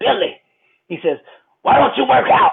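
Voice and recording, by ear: Extremely high pitch in a put-on character voice, the pace moderate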